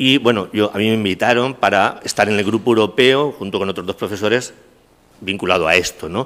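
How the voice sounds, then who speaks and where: A man with an unremarkable speaking voice talks at a fairly low pitch. He moves at a fairly quick pace with ordinary pitch variation. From Castilla-La Mancha, Spain. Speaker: criminology professor. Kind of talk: lecture. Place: hall. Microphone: podium.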